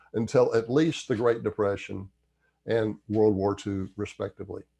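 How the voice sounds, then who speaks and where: Against a quiet background, a man with a Southern US accent speaks at a moderate pace in a dark, mellow tone. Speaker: history commentator. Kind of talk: history commentary read from notes.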